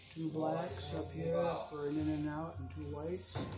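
A man talks at a moderate speed while clear music sounds behind him. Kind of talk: tutorial. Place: garage. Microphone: phone near.

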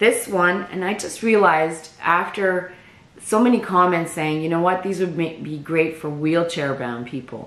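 A woman's fairly low voice with a Canadian accent, at a moderate pace with ordinary pitch variation, some audible room echo and noticeable background noise. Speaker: crochet vlogger. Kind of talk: casual chat.

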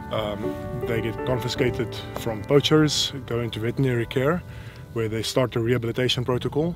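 Over clear background music, a man talks with ordinary pitch variation in a dry sound with no echo. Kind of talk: interview answer. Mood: calm, informative. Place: open country.

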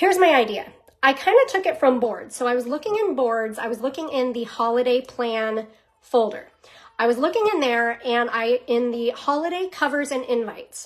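Lively intonation marks a woman's high-pitched voice. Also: moderate pace. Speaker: direct sales team leader. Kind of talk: casual vlog chat, coaching tips. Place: home room. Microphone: phone near.

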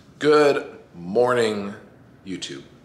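A man speaks at a very slow pace with audible room echo. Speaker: bodybuilder vlogger. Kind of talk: casual vlog chat. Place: kitchen. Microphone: phone near.

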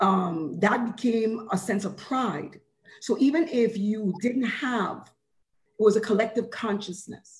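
Somewhat breathy speech from a woman, fairly slow, with ordinary pitch variation. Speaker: corrections mental health professional. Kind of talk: panel discussion. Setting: video call. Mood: reflective, proud. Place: home room. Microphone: video call.

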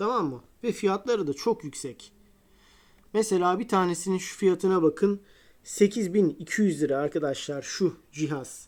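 At a fairly slow pace and with lively intonation, this is a plain, everyday voice on a very clean recording with a silent background. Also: woman, medium pitch for a woman. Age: 40s. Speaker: guitar hobbyist YouTuber. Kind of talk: tutorial. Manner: casual, repetitive fillers.

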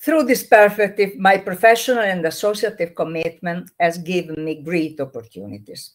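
A medium-pitched woman's voice in an Italian accent, hardly any pauses, over a quiet background. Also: moderate pace. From Italy. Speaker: trainer and activist; trainer. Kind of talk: interview. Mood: calm, reflective. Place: home room.

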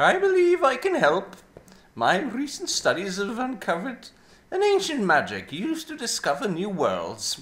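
A put-on character voice, fairly high, with very wide pitch swings at a moderate pace. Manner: measured, confident.

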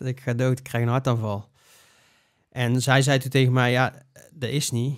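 Against a quiet background, a man speaks at a moderate pace in a flat, monotone way. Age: 30s. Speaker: breathing coach. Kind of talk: interview. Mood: reflective personal story. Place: studio. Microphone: studio mic.

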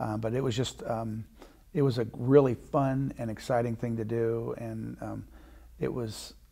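Against a quiet background, a man with a dark, mellow tone keeps his intonation fairly even. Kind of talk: interview answer. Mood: warm, proud reminiscence. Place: studio. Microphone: lapel.

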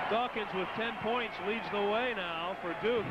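A man's high-pitched, fairly slow speech with fairly even intonation and noticeable background noise. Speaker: basketball play-by-play announcer. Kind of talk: live sports commentary.

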